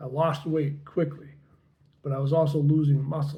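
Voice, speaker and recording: Somewhat breathy and monotone, a man speaks in a dark, mellow tone at a fairly high pitch with flat intonation. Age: 70s. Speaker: health vlogger. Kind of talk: personal testimony. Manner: casual, slightly halting.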